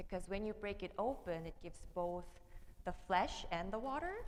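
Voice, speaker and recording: A woman speaks at a medium pitch with lively intonation. Room echo is audible. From South Korea. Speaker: theology PhD candidate and minister. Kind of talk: panel discussion. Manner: hesitant, with many fillers.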